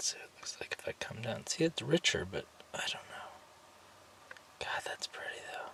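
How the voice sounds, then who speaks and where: Someone whispers with long, frequent pauses and big swings in loudness. Background noise is noticeable. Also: man, moderate pace. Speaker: artist and vanlifer testing a camera. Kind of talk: casual filming commentary. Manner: halting.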